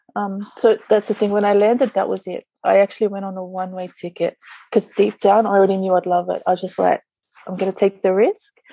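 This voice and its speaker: Talking at a fairly quick pace, a woman with an Australian accent uses a medium pitch and a dark, mellow tone with monotone, flat intonation. The sound is dry and close, with no echo. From Australia, Sydney. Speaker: energy healer and spa owner. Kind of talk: casual interview chat. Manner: hesitant, many fillers.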